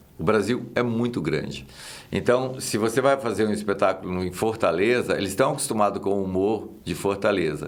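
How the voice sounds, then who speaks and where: With a Minas Gerais accent, a man speaks at a moderate pace and fairly low pitch with ordinary pitch variation, in audible room echo. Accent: Minas Gerais (mineiro) accent, kept. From Minas Gerais, Brazil. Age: 60s. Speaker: actor and comedian. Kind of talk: casual chat.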